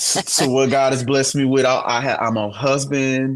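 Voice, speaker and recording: A man's voice in a St. Louis accent at a moderate pace. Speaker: worship director and singer-songwriter. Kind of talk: podcast interview.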